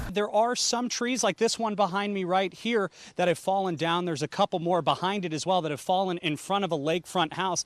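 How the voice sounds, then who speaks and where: Recorded very cleanly over a silent background, a high-pitched man talks at a fairly quick pace with hardly any pauses and ordinary pitch variation. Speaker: multimedia journalist, TV news reporter. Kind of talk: TV news reporting, live shots and packages.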